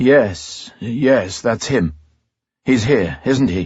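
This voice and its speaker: Putting on a character voice, a man speaks very slowly at a medium pitch, raspy, with lively intonation. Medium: read story. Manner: uneasy, stammering.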